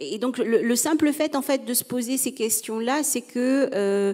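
A woman's dark, mellow voice at a fairly slow pace over a quiet background. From Tunisia. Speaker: psychologist and entrepreneur; panelist. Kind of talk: panel discussion. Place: stage. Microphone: handheld.

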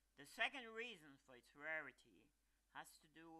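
Using a bright, sharp tone, a man talks at a fairly slow pace with very wide pitch swings. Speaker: plant enthusiast narrator. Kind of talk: documentary narration with pauses. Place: garden.

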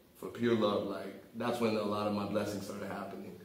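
A man speaks with an American accent in a room with audible echo. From South Florida. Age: 30s. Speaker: rapper. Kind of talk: casual interview. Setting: studio. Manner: animated. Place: studio.

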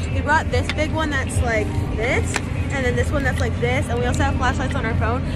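Fairly quick speech in a dry sound with no echo over loud music in the background. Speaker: vlogger. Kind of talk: casual vlog chat. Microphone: phone near.

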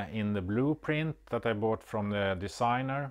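The background stays quiet while a man talks. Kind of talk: tutorial. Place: workshop.

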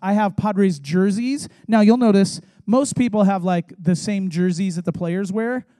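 A man with an American accent speaks at a moderate pace in a high pitch with a dark, mellow tone and ordinary pitch variation, against a quiet background. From San Diego, California; California. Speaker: youth pastor; pastor. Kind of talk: sermon. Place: church. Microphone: handheld.

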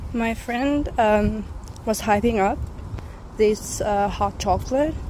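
A woman talks with ordinary pitch variation. The sound is dry with no echo, with light background noise. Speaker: student vlogger. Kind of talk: casual vlog chat. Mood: relaxed and cheerful. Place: street. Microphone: phone near.

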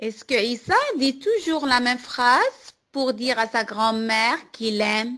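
A woman's high-pitched voice with a gentle, warm tone and ordinary pitch variation. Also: fairly slow pace. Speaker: storyteller for children. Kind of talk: bedtime story telling. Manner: slow, gentle, warm; soft, soothing.

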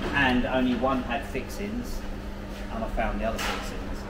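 A man speaks at a moderate pace over loud background noise. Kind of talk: casual work explanation. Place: workshop. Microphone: camera far.

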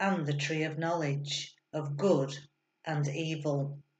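Very slow and somewhat breathy, a woman speaks. Her pitch is very deep and low. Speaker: churchgoer reading scripture. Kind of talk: reading aloud.

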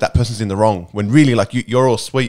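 A man is speaking at a medium pitch. His intonation stays fairly even.

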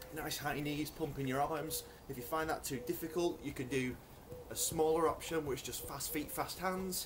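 Moderate pace over noticeable background noise. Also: man. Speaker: fitness instructor. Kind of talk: workout instruction. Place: garden. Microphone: camera far.

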